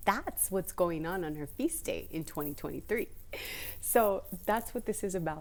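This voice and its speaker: A woman speaks at a moderate pace, her pitch in the medium range. Her tone is animated, with very wide pitch swings. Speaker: spiritual content creator. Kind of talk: casual vlog talk about astrology. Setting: library. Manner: quiet, trying not to be loud; animated, chatty.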